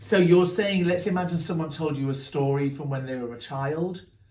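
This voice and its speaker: With an English accent, a man talks at a moderate pace in a somewhat breathy voice, showing ordinary pitch variation over audible room echo. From England. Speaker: branding coach and author. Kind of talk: group workshop discussion.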